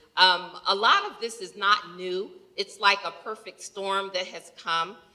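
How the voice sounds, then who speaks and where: This woman has an American accent. Her pitch is medium. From New York. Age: 60s. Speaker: healthcare executive. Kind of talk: audience comment at panel Q&A. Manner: animated.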